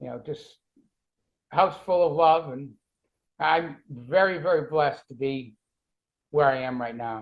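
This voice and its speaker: A man with a Boston accent, fairly high-pitched for a man, at a fairly slow pace, with long, frequent pauses and big swings in loudness. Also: ordinary pitch variation. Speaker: cancer survivor and author. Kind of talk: interview.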